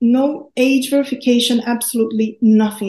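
Her tone dark and mellow, a woman speaks in a somewhat breathy voice with fairly even intonation. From Brazil. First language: Portuguese. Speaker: student researcher.

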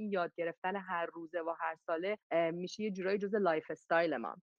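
Very fast speech comes from a woman whose pitch varies in an ordinary way. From Iran. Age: 40s. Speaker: call-in participant, teacher. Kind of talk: casual discussion.

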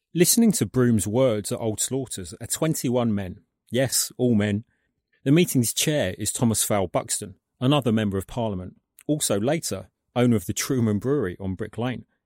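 A man with a British accent, dark, mellow tone and ordinary pitch variation, on a very clean recording against a silent background. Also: medium pitch for a man, moderate pace. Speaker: documentary presenter and author. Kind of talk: scripted narration.

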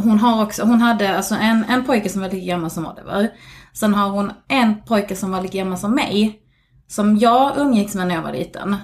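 Ordinary pitch variation, a moderate pace and a somewhat breathy quality. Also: woman, medium pitch for a woman. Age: 40s. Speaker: podcast guest. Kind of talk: casual chat. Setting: recording at the host's home.

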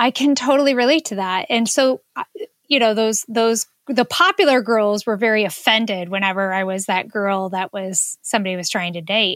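In a very clean recording with a silent background and a dry, close sound with no echo, a woman has an ordinary speaking voice, a fairly high pitch, ordinary pitch variation and a moderate pace. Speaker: podcast co-host. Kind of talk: casual chat.

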